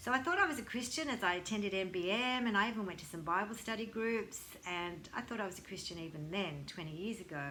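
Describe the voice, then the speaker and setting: This woman talks at a fairly quick pace, with audible room echo around her. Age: 60s. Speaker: yoga teacher and counsellor. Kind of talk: testimony.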